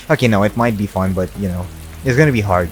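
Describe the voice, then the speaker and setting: A man with a Russian accent and ordinary pitch variation. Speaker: gaming YouTuber. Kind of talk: Q&A video monologue. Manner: casual, hesitant with fillers.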